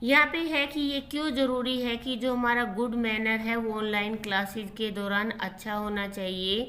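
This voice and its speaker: Audible room echo surrounds a woman's voice. She speaks fairly slowly at a fairly high pitch with ordinary pitch variation. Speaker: tutor teaching a school class. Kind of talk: lecture.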